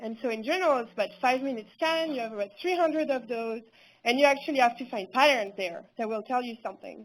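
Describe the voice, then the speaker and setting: A woman with a French accent, high-pitched and lively in intonation, at a fairly quick pace, on a very clean recording with a silent background. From France. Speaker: researcher. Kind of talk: conference talk.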